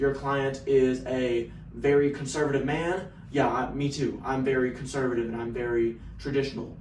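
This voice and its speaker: A man talks with a slight Texan accent and fairly even intonation. The recording has audible room echo and noticeable background noise. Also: medium pitch for a man, moderate pace. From Texas. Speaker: sales business owner. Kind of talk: casual vlog monologue.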